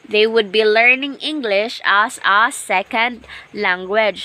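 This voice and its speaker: Speaking at a very slow pace with a Visayan accent, a woman is heard over noticeable background noise. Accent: Filipino (Visayan) English. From Philippines, Agusan del Sur (Mindanao). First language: Bisaya (Cebuano). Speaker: teacher. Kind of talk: lecture. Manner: repetitive, self-correcting.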